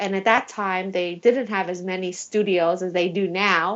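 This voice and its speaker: Delivered at a fairly slow pace, this is an ordinary speaking voice. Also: woman. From Taiwan, moved to US at 8. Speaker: attorney and beauty pageant winner. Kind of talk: podcast interview. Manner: casual, with filler words.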